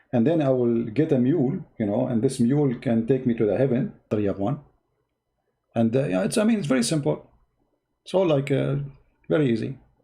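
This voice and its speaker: A man with an Arabic accent, fairly quick pace, long and frequent pauses, a somewhat breathy, dark and mellow tone, and lively intonation. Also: medium pitch for a man. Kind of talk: live stream commentary. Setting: live stream. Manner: halting.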